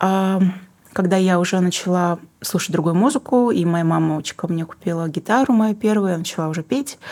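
Dark, mellow tone from a woman at a moderate pace, her pitch varying in an ordinary way. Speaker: singer-songwriter and book publisher. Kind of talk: casual interview.

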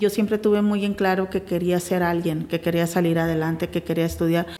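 A woman talks with fairly even intonation while noticeable background noise carries on behind her. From Mexico, Sinaloa (Navolato), later Tijuana. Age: 40s. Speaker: business leader. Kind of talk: interview testimony.

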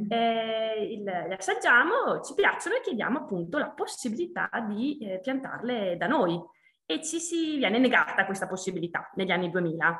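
Amid noticeable background noise, a woman talks at a moderate pace with a fairly high pitch and very wide pitch swings. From Trentino, Italy. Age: 30s. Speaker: winemaker. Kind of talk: interview. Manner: halting.

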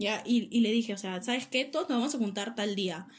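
With a plain, everyday voice, a woman speaks at a moderate pace in a fairly high pitch. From Peru. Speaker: podcast co-host, university student. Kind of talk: casual chat.

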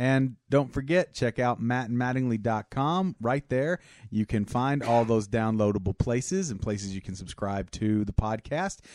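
A man with an American accent and an unremarkable speaking voice talks at medium pitch, with ordinary pitch variation. His moderate pace has hardly any pauses, and the sound is dry and close with no echo over a quiet background. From small town, US. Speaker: podcast co-host. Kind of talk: casual chat.

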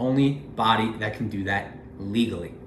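With lively intonation, a man talks amid audible room echo and noticeable background noise. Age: 20s. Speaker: finance video creator. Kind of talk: solo commentary video.

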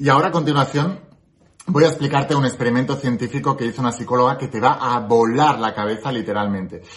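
A man's medium-pitched, animated voice at a very fast pace, with ordinary pitch variation. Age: 30s. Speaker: spiritual self-help youtuber. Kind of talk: motivational talk to camera.

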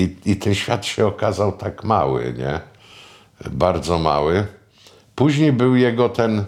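A man's fairly low voice with vocal fry, very slow and broken by long, frequent pauses, with very wide pitch swings. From Pomerania, northern Poland (near Puck, Sopot). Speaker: screenwriter and film producer. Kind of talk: oral history reminiscence interview. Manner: conversational, with frequent fillers.

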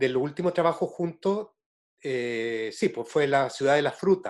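A man speaks with a Chilean accent, his pitch fairly high. The background is quiet. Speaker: interviewer, theatre director. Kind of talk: interview conversation.

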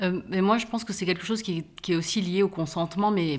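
A moderately paced woman's voice, fairly low in pitch, with intonation held fairly even. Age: 40s. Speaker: author and podcaster. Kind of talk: casual conversation. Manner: hesitant, many fillers.

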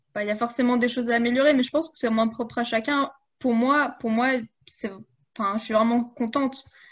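Over a quiet background, a high-pitched woman talks at a moderate pace with fairly even intonation. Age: 20s. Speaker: coaching client and fitness influencer. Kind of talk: casual interview. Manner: hesitant, many fillers.

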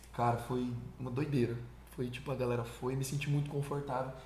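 Noticeable background noise and audible room echo surround a man speaking in a medium pitch with ordinary pitch variation. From São Paulo state, Brazil (Suzano). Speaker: country singer. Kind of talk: interview. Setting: studio. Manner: animated.

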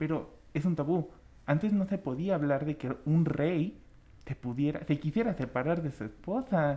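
Here is a man with a dark, mellow tone. He talks at a moderate pace with ordinary pitch variation. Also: fairly high pitch for a man. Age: 20s. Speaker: podcast co-host. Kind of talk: casual chat.

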